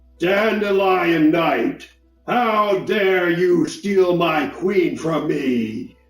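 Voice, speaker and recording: A man puts on a character voice, high-pitched and very slow. Faint music plays in the background, with slight echo. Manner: angry, commanding.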